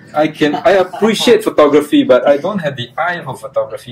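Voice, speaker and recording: There's noticeable background noise throughout. Over it, a man talks at a very fast pace. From Singapore. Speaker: electronics company executive. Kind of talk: interview. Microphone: lapel.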